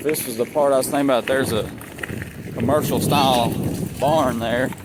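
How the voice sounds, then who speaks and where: A man talks at a fairly quick pace and medium pitch. His intonation is monotone and flat, with noticeable background noise. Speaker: vlogger. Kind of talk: casual vlog narration. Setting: outdoors riding a bike on a trail. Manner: bumpy, jostled speech from rough trail; casual, rambling with fillers.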